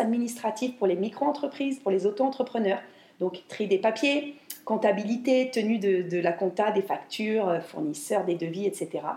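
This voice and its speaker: A fairly high-pitched woman's voice with lively intonation and very even loudness, at a moderate pace over noticeable background noise. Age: 40s. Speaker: home organizing coach and podcaster. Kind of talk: solo podcast monologue. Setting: home kitchen. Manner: hesitant, many fillers. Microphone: new microphone, room echo.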